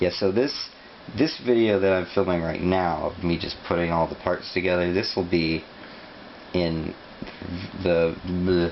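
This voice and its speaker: A man at a fairly slow pace, very deep and low in pitch, with fairly even intonation and long, frequent pauses, over noticeable background noise. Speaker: YouTuber building model kits. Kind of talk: casual build commentary. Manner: mumbling at times.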